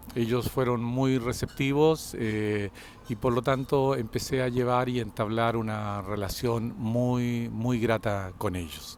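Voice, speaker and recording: Speaking fairly slowly, a man uses a medium pitch with ordinary variation. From Chile, Concepción area. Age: 60s. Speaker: former student. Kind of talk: testimony. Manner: halting.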